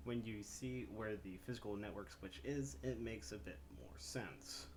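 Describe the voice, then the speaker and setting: Quiet and somewhat breathy, a man speaks at a moderate pace with a fairly low pitch and very wide pitch swings, amid audible room echo. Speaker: gaming YouTuber. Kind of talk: gameplay explainer tutorial.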